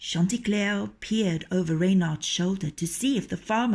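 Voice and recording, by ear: The pitch rises and falls in an ordinary way as this person reads aloud in a natural voice.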